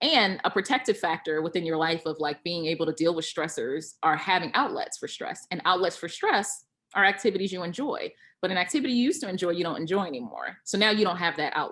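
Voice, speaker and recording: The delivery is animated, with lively intonation. The pace is very fast. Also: woman, medium pitch for a woman. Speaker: clinical psychologist. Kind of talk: interview conversation. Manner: loud.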